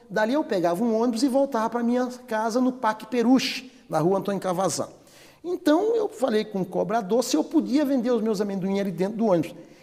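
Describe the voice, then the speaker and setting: Amid noticeable background noise, a man speaks very fast at an extremely high pitch with lively intonation. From Bahia, northeastern Brazil. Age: 60s. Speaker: cosmetics company president. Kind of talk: interview testimony.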